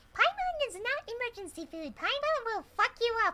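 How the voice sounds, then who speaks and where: A woman does a put-on character voice at an extremely high pitch, speaking at a moderate pace. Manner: threatening, spunky.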